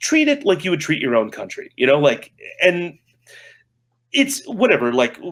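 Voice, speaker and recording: Loud and at a fairly quick pace, a man talks with very wide pitch swings. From United States. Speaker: game marketing manager. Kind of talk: casual interview chat. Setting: remote call from Japan.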